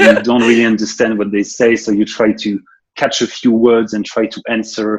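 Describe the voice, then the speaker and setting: A man with a French accent talks at a fairly quick pace and a medium pitch. His delivery is monotone, with flat intonation. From France. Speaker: software developer and consultant. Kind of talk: interview. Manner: hesitant, many fillers.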